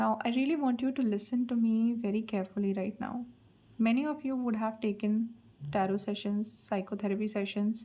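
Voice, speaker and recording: A woman's fairly high, somewhat breathy voice with a dark, mellow tone at a fairly quick pace. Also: fairly even intonation. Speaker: tarot card reader. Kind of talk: collective tarot reading.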